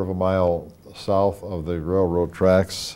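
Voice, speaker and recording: A man with an Ohio accent speaks in a very deep, low pitch and a dark, mellow tone, his intonation monotone and flat. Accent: Midwestern American (Ohio). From Wadsworth, Ohio. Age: 60s. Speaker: local history show host. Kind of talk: oral history interview. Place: studio. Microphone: lapel.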